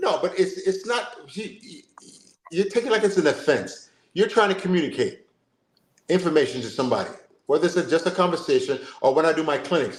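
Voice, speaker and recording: Speaking at a very fast pace, a man with an American accent uses a high pitch and lively intonation. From Jamaica. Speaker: football coach and sports show host. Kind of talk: casual chat. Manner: animated.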